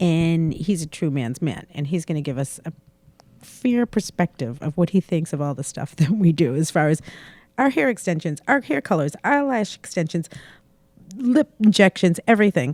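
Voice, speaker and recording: In an American accent, a woman speaks at a moderate pace with a fairly low pitch and very wide pitch swings, on a very clean recording with a silent background and a dry, close sound with no echo. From Boston. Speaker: salon owner and podcast host. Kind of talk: casual chat. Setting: studio.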